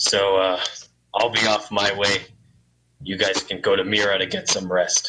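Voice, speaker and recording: Putting on a raspy character voice, a man speaks fairly low and monotone at a moderate pace, with long, frequent pauses. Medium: actual play.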